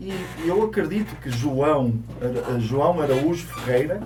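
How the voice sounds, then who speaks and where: The speaker has a European Portuguese accent, and audible room echo can be heard. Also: man. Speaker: co-host of a Portuguese community segment. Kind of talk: casual talk-show chat.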